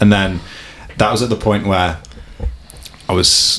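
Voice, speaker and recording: A man talks at a fairly slow pace with a fairly low pitch. Noticeable background noise can be heard. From Warrington, northwest England. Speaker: mountain bike video maker. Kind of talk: casual interview chat.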